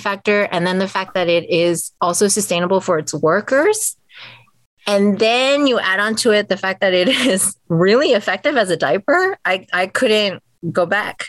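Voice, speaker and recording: A woman speaks with an American accent at a moderate pace. Her pitch is medium, with ordinary pitch variation. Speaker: cloth diaper business owner. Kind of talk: interview. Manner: loud.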